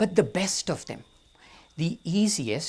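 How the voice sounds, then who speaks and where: A speaker with an Indian accent. The pitch swings very widely. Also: man, very clean recording, silent background. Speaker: storyteller. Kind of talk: storytelling talk. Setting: outdoor amphitheater with audience.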